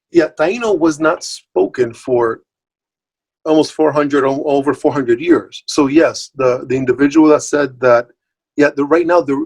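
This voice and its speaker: A man's fairly high voice at a moderate pace, with ordinary pitch variation and a dry, close sound free of echo. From Puerto Rico and mainland US. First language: Spanish. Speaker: multilingual language professional, guest speaker. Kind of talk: online talk Q&A. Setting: video call. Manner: conversational with many fillers and repetitions.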